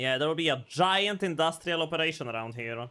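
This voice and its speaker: An animated tone at a moderate pace, with a non-native accent. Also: man. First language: not English. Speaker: vtuber streamer. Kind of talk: live gameplay stream.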